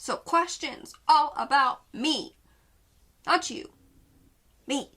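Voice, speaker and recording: The voice is raised and projected, with a bright, sharp tone. It moves at a very slow pace. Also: woman, high pitch for a woman. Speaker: YouTuber. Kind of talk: casual vlog Q&A. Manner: animated.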